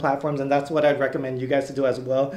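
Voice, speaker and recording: A very fast pace from a male speaker. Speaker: fitness content creator. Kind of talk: casual vlog chat. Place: home room.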